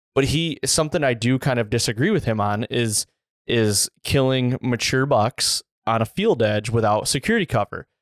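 An unremarkable speaking voice from a man with an American accent, medium in pitch, at a moderate pace, with ordinary pitch variation and very even loudness, in a dry, close sound with no echo and a very clean recording with a silent background. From Central Michigan. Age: 30s. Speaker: deer hunter and podcast host. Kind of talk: casual chat.

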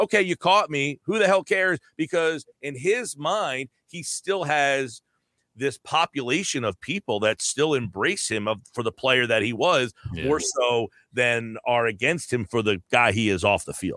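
A medium-pitched man with an American accent, bright and sharp in tone, at a fairly slow pace with very wide pitch swings, on a very clean, dry, close recording with a silent background and no echo. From New Jersey. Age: 40s. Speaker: sports radio host. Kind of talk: casual chat.

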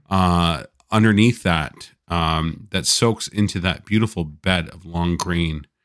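On a very clean recording with a silent background, a man with a Canadian accent and a very deep, low pitch speaks very slowly, with ordinary pitch variation and big swings in loudness. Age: 40s. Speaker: patient recounting illness. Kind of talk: casual chat.

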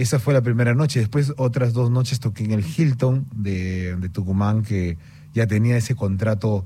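The voice has a dark, mellow tone and sounds somewhat breathy. It moves at a moderate pace with ordinary pitch variation. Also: man, medium pitch for a man. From Peru. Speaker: singer-songwriter. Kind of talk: radio interview. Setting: studio.

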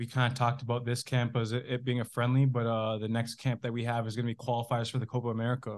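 A man with a Canadian accent, very fast and almost pauseless, in a flat monotone. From Canada. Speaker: professional footballer. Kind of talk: casual chat.

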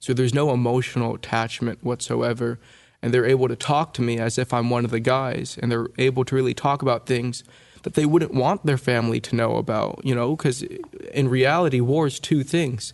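Medium pitch and fairly even intonation in a man's voice, an unremarkable speaking voice. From California, US. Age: 20s. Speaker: oral historian interviewing war veterans. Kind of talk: interview conversation.

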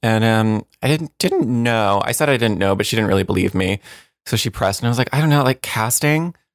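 An unremarkable speaking voice from a man with an American accent, medium pitch and ordinary pitch variation, at a fairly quick pace with very even loudness, on a very clean recording with a silent background and a dry, close sound with no echo. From New Jersey. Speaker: casting director. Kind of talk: casual interview chat.

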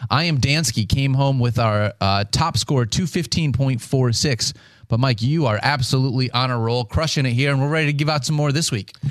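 At a moderate pace with hardly any pauses, a man with a plain, everyday voice speaks at medium pitch with ordinary pitch variation and very even loudness in a very clean recording with a silent background. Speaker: fantasy football podcast host. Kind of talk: casual chat.

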